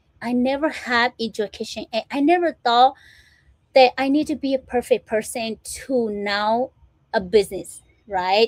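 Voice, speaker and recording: A woman talks at a fairly slow pace with ordinary pitch variation, in a dry, close sound with no echo. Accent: non-native. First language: not English. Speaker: motivational speaker and small business owner. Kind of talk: motivational livestream talk. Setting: live stream. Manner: informal, repetitive fillers.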